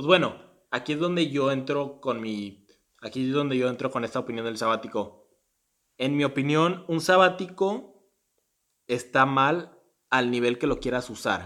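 Speaking at a fairly slow pace with long, frequent pauses, a man keeps a medium pitch and ordinary pitch variation. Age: 20s. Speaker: podcast co-host, university student. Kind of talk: casual chat.

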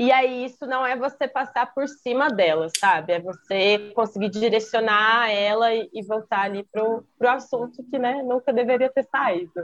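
At a moderate pace with hardly any pauses, a woman talks at a fairly high pitch with ordinary pitch variation. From Campinas, São Paulo state, Brazil. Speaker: graphic designer and dancer. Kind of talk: casual chat.

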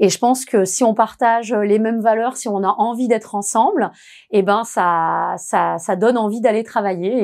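On a very clean recording with a silent background, a woman at medium pitch speaks in an ordinary speaking voice. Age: 40s. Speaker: HR manager. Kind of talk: interview testimony.

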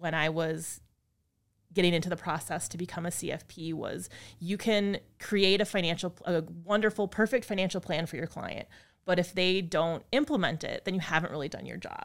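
Recorded very cleanly against a silent background, a woman with an American accent speaks in a plain, everyday voice at a fairly low pitch and moderate pace, with ordinary pitch variation and big swings in loudness. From Wisconsin (Appleton). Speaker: financial advisor. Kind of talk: interview conversation.

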